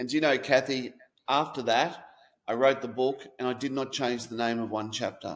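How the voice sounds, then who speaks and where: A man in an Australian accent talks at a moderate pace with monotone, flat intonation, on a very clean recording with a silent background. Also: medium pitch for a man. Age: 50s. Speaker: author. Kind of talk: interview.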